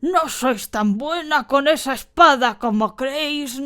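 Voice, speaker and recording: Putting on a character voice, a woman talks at a fairly slow pace in a high, wheezy pitch. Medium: read story. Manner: archaic, formal and menacing.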